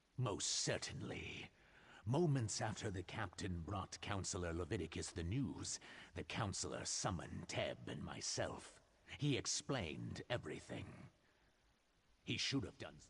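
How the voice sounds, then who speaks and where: A man speaks at a moderate pace in a put-on character voice with a very deep, low pitch. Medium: video game.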